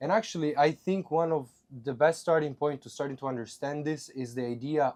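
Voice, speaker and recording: The speaker has an Italian accent and a moderate pace. The recording is very clean, with a silent background. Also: man. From Italy. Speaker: podcast host. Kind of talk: casual chat.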